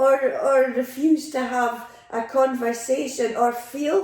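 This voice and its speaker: In an Aberdonian accent, a woman with a high pitch speaks at a very slow pace. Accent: Scottish, Aberdonian. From Aberdeen, Scotland. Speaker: retired educator and former foster carer. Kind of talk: interview answer.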